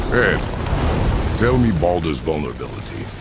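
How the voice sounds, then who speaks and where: Through loud background noise, a man in a put-on character voice speaks at a moderate pace with a very deep, low pitch. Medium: game stream. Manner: terse, clipped.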